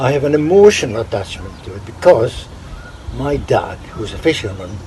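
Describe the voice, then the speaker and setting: Noticeable background noise runs under a voice whose pitch swings very widely. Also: man. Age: 80s+. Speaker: poetry enthusiast. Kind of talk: interview.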